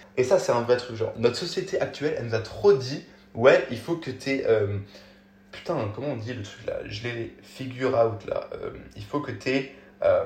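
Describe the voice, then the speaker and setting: This man's loudness swings widely as he talks at a fairly slow pace. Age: 20s. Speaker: podcaster and TikTok creator. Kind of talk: casual solo podcast monologue. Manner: halting, many fillers and self-corrections.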